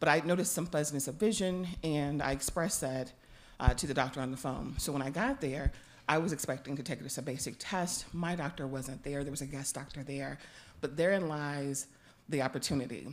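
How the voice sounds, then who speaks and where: At a fairly quick pace, a woman speaks with a very deep, low pitch and ordinary pitch variation. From Louisiana. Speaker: artist and patient panelist. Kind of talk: personal testimony.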